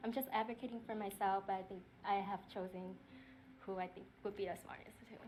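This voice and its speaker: In a Vietnamese accent, a woman talks at a fairly quick pace with a medium pitch and fairly even intonation. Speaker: game show contestant. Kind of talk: casual interview talk.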